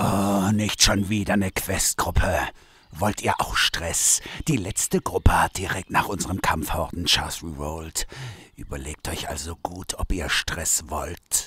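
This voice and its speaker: A man's put-on character voice, very deep in pitch, at a fairly slow pace. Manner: grumpy, self-pitying.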